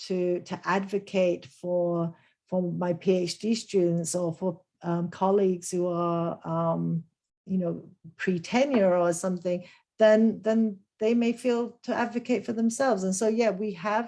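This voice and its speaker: In a Lancashire accent, a woman speaks at a fairly slow pace with medium pitch, a dark, mellow tone and fairly even intonation. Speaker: business professor. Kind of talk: webinar Q&A.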